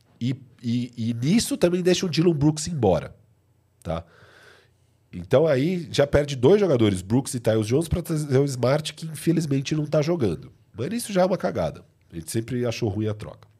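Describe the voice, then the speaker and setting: A man's somewhat breathy, dark and mellow voice, fairly high in pitch, with very wide pitch swings and a moderate pace, on a very clean recording with a silent background. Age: 30s. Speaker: basketball podcast co-host. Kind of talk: casual sports debate. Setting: live stream.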